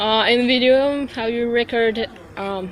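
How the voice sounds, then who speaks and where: Against noticeable background noise, the speaker uses a monotone, flat intonation with a Russian accent. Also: woman. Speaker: interviewer. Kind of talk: interview. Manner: halting.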